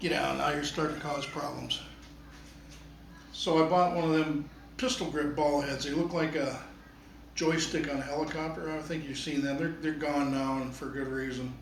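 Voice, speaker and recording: A man with a fairly high pitch talks at a moderate pace, leaving long, frequent pauses. Audible room echo and noticeable background noise surround his voice. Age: 60s. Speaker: photography hobbyist reviewing gear. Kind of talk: casual product review talk. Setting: at home. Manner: conversational, hesitant with repeats.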